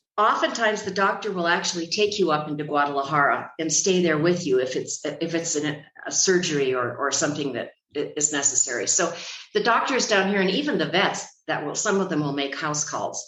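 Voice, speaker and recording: In a room with audible echo, a woman with a fairly low pitch talks at a fairly quick pace with ordinary pitch variation. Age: 70s. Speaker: retired expat. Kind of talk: podcast interview.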